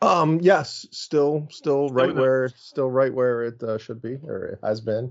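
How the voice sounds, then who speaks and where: A medium-pitched man with an American accent. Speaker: podcast panelist. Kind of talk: casual chat. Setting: video call. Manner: halting.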